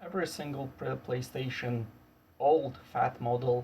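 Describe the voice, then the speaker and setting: A man is speaking. He has a non-native accent. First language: not English. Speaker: electronics repair youtuber. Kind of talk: tutorial. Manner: halting.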